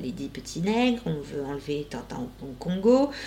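Somewhat breathy and fairly slow, a woman's voice moves through very wide pitch swings. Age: 40s. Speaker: shaman, life coach and podcast host. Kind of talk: casual interview chat.

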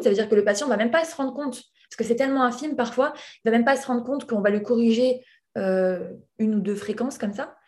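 Pitch varies in an ordinary way. Delivery is very fast. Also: woman. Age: 20s. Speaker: hearing aid specialist. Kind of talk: interview. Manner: hesitant.

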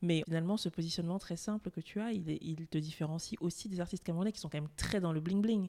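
Delivered at a very fast pace, the voice has a dark, mellow tone and fairly even intonation, with a dry, close sound and no echo. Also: woman, fairly low pitch for a woman. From France and Cameroon. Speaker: podcast host. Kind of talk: interview.

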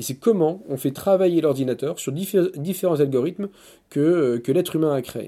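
Heard on a very clean recording with a silent background, the voice has a dark, mellow tone, ordinary pitch variation and a moderate pace. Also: man. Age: 40s. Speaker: business owner. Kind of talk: interview. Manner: halting.

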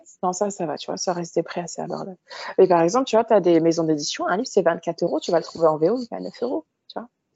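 A woman talks at a very fast pace. Her pitch sits fairly low. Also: big swings in loudness. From France, Paris suburbs (Moroccan heritage). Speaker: literary content creator. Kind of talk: casual interview.

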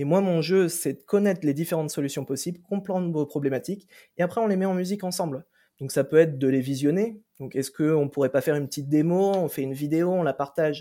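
A man with a fairly high pitch and a dark, mellow tone talks at a fairly quick pace with ordinary pitch variation, on a very clean recording with a silent background. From France, Brittany. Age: 30s. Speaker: customer success manager. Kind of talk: interview.

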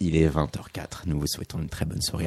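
Over a quiet background, a man's dark, mellow tone comes through with a dry, close sound and no echo. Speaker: radio host. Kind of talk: radio interview. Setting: studio.

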